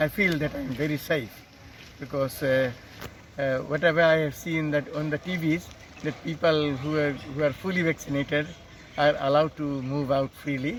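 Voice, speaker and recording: A man's fairly high voice with fairly even intonation and noticeable background noise. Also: moderate pace. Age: 70s. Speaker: vaccinated elderly resident. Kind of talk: street interview. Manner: hesitant, many fillers.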